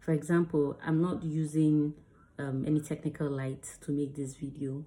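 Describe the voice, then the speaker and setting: A woman speaks with a very deep, low pitch and a dark, mellow tone. Her intonation is monotone and flat. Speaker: actor and video creator. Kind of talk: tutorial. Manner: fast.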